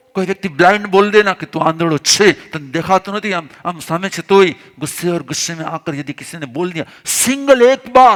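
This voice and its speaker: A man speaks in a high pitch, the sound dry and close with no echo. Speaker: Jain spiritual teacher. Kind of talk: religious discourse.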